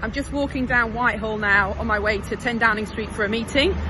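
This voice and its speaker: A woman's fairly quick speech with ordinary pitch variation, dry with no echo, over noticeable background noise. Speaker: politician. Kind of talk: casual vlog chat. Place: street. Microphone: phone near.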